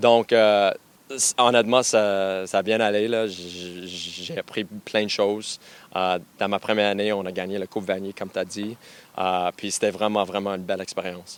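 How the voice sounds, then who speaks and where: A man with an English accent talks at a moderate pace, his fairly low pitch held in a monotone, flat intonation. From western Canada, anglophone family. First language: English (speaking French). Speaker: university football coach. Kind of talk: radio interview. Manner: halting, many fillers and repetitions.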